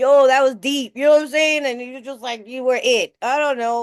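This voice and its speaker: A woman with a New York accent at a fairly quick pace, dry and close with no echo, against a quiet background. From New York City. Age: 60s. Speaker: recovery meeting speaker. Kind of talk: recovery share. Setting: video call. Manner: casual, conversational.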